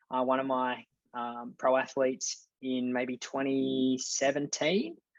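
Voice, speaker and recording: Speaking at a middle pitch, a man has an Australian accent. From Australia, rural New South Wales. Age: 20s. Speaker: mental performance coach. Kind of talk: podcast interview.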